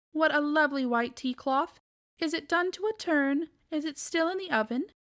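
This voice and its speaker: A woman puts on a character voice at a high pitch. She speaks at a moderate pace. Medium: read story. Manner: polite, flustered.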